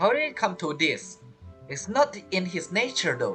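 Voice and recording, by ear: Faint music plays behind a man whose high, bright, sharp voice makes very wide pitch swings at a moderate pace.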